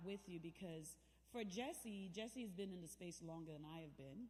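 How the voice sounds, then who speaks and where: Audible room echo surrounds a woman's medium-pitched voice as she talks at a moderate pace with lively intonation. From Jamaica (Kingston). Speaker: guest speaker, navy veteran. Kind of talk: inspirational speech. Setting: church event with audience. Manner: conversational, engages audience.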